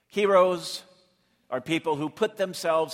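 A man's voice with vocal fry. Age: 60s. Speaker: pastor. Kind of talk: sermon.

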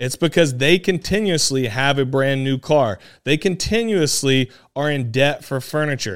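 With an American accent, an unremarkable speaking voice moves at a moderate pace with lively intonation in a very clean recording with a silent background. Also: man, fairly high pitch for a man. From South Carolina. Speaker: podcast host, real estate investor. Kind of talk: solo podcast monologue.

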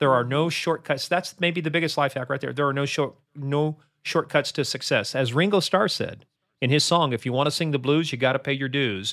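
A man with an American accent talks at a fairly quick pace in a normal speaking voice, fairly high in pitch with ordinary pitch variation. The recording is very clean, with a silent background. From Kansas. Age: 60s. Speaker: cybersecurity expert. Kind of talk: interview.

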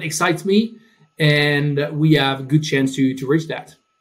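Somewhat breathy and fairly high in pitch, a man speaks with a French accent. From France. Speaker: tech company CEO. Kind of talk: interview. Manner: halting.

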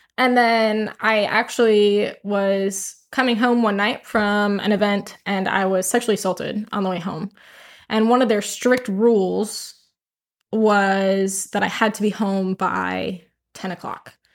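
A woman's medium-pitched voice at a fairly slow pace with monotone, flat intonation, on a very clean recording with a silent background. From US, military family, moved often. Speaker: podcast guest, Air National Guard member. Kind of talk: interview, personal life story. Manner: hesitant with frequent fillers.

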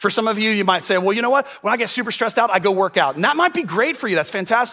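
A man raises and projects his high voice in a bright, sharp tone. His intonation is lively. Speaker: pastor. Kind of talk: sermon. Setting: church. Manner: humorous.

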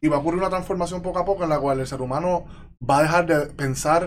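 A man at a very fast pace, his pitch varying in an ordinary way. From Puerto Rico, Yabucoa. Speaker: self-taught software developer. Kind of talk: casual interview.

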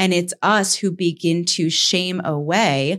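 A woman with an American accent has an ordinary speaking voice at a fairly low pitch, with ordinary pitch variation. The recording is very clean, with a silent background. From US Northeast (Saratoga). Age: 30s. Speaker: podcast host. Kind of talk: casual chat.

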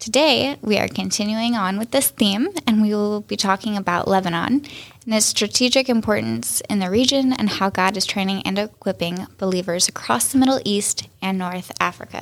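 With an ordinary speaking voice, a woman talks at a fairly quick pace, her medium pitch showing ordinary pitch variation. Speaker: podcast host. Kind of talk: podcast interview.

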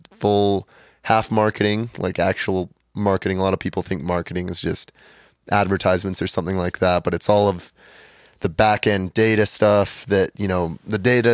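An unremarkable speaking voice belongs to a man with an American accent, fairly low in pitch, with fairly even intonation at a moderate pace. The sound is dry and close with no echo, on a very clean recording with a silent background. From Utah. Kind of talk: casual chat.

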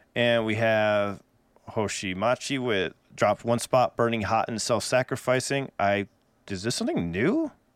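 A man with an American accent talks at a moderate pace and medium pitch, with fairly even intonation. He has an unremarkable speaking voice, recorded dry and close with no echo. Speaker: music reaction podcast co-host, musician. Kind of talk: casual chat. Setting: live stream.

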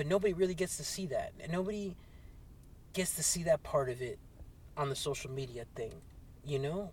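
A high-pitched man at a fairly quick pace, with long, frequent pauses, ordinary pitch variation and noticeable background noise. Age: 40s. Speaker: podcast host and clothing business owner. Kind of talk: solo podcast monologue. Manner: halting.

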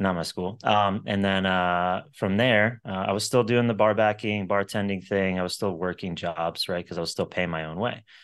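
Against a quiet background, an unremarkable speaking voice with an American accent moves at a moderate pace, with fairly even intonation and hardly any pauses. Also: man, fairly low pitch for a man. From Florida (Sarasota). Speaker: entrepreneur. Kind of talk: interview. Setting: podcast recording.

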